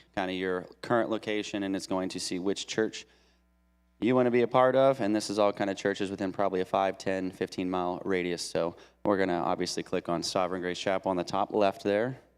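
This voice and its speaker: A man with a fairly low voice speaks at a very fast pace with ordinary pitch variation on a very clean recording with a silent background. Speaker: church deacon. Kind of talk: tutorial. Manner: hesitant, many fillers.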